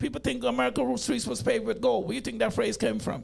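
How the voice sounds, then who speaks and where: Vocal fry and very wide pitch swings in a man's speech. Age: 60s. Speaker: interview guest. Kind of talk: casual interview chat.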